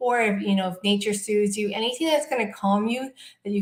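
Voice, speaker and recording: The voice belongs to a woman. It carries some breathiness. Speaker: clinical hypnotherapist and meditation guide. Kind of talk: guided sleep meditation / self-hypnosis talk.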